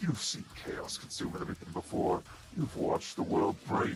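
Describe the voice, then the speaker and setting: This is a put-on character voice. Its tone is raspy. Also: man. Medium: voice reel. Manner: taunting, calm, sinister.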